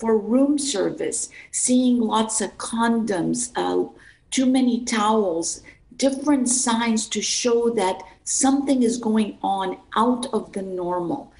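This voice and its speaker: A somewhat breathy woman at a very slow pace. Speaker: district attorney. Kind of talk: interview answer. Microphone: video call.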